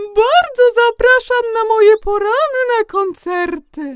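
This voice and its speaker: Someone uses a put-on character voice with a cheerful tone. The delivery moves at a fairly slow pace. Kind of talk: children's bedtime audio play. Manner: chirpy, cheerful.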